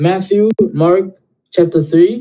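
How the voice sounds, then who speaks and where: A man's voice comes through with a dark, mellow tone and fairly even intonation. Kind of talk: heated debate. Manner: loud.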